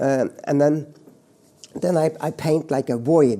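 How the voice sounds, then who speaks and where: Here a man speaks at a fairly slow pace. His tone is dark and mellow, with ordinary pitch variation. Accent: Norwegian. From Norway, rural mountain farm. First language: Norwegian. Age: 70s. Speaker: painter. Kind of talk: interview monologue. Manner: halting, many repetitions and fillers.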